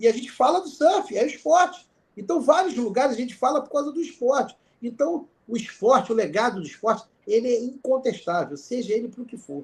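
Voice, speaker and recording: A man speaks at an extremely high pitch and a fairly quick pace. His loudness swings widely. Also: lively intonation. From Niterói, Rio de Janeiro, Brazil. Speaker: sports law professor and lawyer. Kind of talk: guest lecture and casual chat. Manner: animated.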